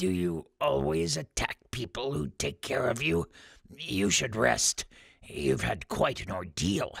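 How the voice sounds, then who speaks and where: A man uses a raspy put-on character voice with a very deep, low pitch and very wide pitch swings. He speaks at a fairly slow pace, dry and close with no echo. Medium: read story. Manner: calm, gentle, hesitant fillers.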